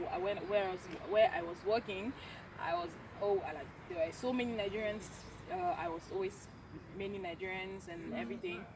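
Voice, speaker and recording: A woman speaks with a French accent at a medium pitch and a fairly quick pace. Noticeable background noise runs under her voice. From French-speaking Cameroon. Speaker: university student. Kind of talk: casual chat. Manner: halting.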